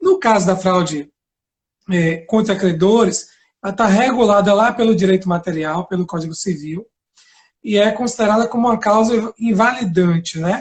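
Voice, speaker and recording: The speaker is a man with a Bahian accent. His voice is high-pitched for a man. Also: ordinary pitch variation, moderate pace. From Bahia, Brazil. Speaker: law professor and lawyer. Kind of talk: lecture-style live interview. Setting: Instagram live video.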